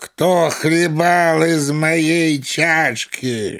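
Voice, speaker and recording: Against a silent background in a very clean recording, a man bellows loudly in a put-on character voice at a fairly high pitch. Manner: roaring, terrible, menacing.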